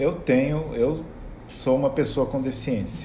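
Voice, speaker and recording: A man speaks with a São Paulo accent. Audible room echo and noticeable background noise fill the recording. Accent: Brazilian Portuguese, São Paulo (paulista). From Brazil, São Paulo state (ABC region, São Caetano do Sul). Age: 60s. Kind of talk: interview conversation.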